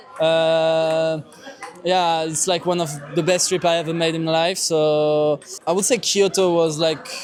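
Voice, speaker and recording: A man's fairly high, monotone, flat voice in a French accent, with music in the background. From France. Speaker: student. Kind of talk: street interview. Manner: hesitant, many fillers.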